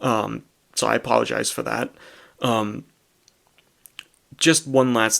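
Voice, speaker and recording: On a very clean recording with a silent background, a man speaks fairly slowly at a medium pitch with fairly even intonation. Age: 20s. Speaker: vlogger. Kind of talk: personal vlog monologue. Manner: monotone.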